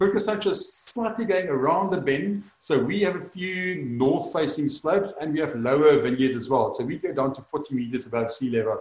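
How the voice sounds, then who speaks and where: Noticeable background noise sits behind a man with a fairly high voice. He talks at a fairly quick pace with lively intonation and hardly any pauses. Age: 40s. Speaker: winemaker. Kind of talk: interview.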